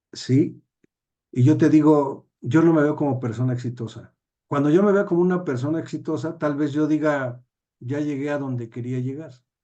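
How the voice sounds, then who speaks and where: This man's voice sits fairly high in pitch and has a dark, mellow tone. He speaks at a moderate pace. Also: ordinary pitch variation. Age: 60s. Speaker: judge and teacher. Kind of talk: interview.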